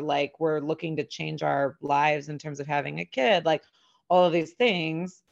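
A woman's vocal fry at a moderate pace. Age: 40s. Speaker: podcast host on midlife. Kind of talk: casual interview.

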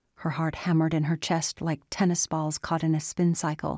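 A woman's normal speaking voice, fairly low in pitch, with a dry, close sound and no echo, in a very clean recording against a silent background. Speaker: audiobook narrator. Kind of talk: dramatic fiction narration, reading aloud with sinister menace in the tense scene. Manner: slow, menacing, hushed and creeping, voicing the predator in a silky drawl; formal, measured.

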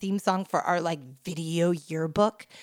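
A woman speaks in an animated tone. The sound is dry and close with no echo, on a very clean recording with a silent background. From New York suburbs. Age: 40s. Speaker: tech founder, writer and podcaster. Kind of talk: casual chat.

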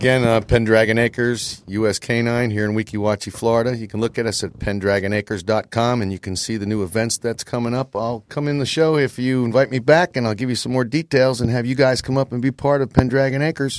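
In a dry, close sound with no echo, a man at a medium pitch speaks very fast with hardly any pauses and fairly even intonation. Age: 50s. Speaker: dog breeder. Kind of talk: casual chat.

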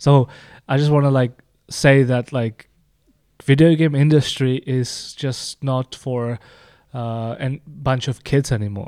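A man with a Czech accent speaks at a very slow pace in a medium pitch, his dark, mellow tone and fairly even intonation broken by long, frequent pauses, captured in a very clean, dry, close recording with no echo and a silent background. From Czech Republic. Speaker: game designer and Twitch streamer. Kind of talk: casual chat.

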